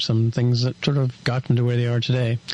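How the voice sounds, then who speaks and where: A man with an American accent talks at a very fast pace. His medium-pitched voice is somewhat breathy. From US. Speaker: podcast co-host. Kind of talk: interview.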